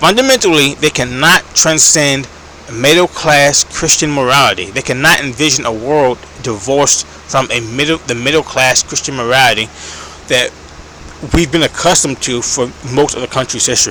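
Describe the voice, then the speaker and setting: Through noticeable background noise, a man with a fairly high pitch speaks at a moderate pace with ordinary pitch variation. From United States. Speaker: political commentator. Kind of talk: casual monologue. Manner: hesitant, many fillers.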